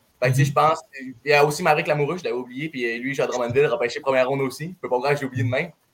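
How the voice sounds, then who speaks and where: A man's fairly high voice in a Saguenay Quebec accent, very fast, with fairly even intonation and big swings in loudness. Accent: Quebec French, Saguenay regional. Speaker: junior hockey goalie. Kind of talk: casual interview.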